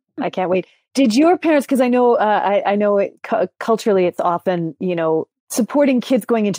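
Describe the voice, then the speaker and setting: A woman in a Canadian accent, dark and mellow in tone, at a fairly quick pace, with a dry, close sound and no echo, on a very clean recording with a silent background. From Langley and Maple Ridge, British Columbia. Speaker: podcast co-host. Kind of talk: interview.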